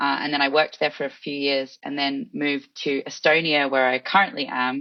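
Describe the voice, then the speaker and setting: With an Australian accent, a woman speaks fairly quickly in a very deep, low pitch, her intonation fairly even. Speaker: head of content at an e-residency program. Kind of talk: casual interview.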